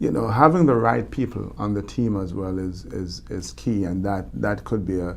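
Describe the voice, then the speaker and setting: This man has a Jamaican accent and a very deep, low pitch. He talks at a fairly slow pace, with audible room echo. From Jamaica, Kingston. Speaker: motivational speaker, former Olympic bobsledder. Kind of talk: interview. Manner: halting, many repetitions and fillers.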